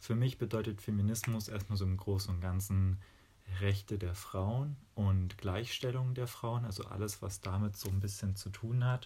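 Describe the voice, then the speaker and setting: Speaking at a moderate pace, a man with a fairly low pitch has a somewhat breathy, dark, mellow tone and fairly even intonation. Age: 20s. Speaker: physics student and dance teacher. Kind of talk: interview.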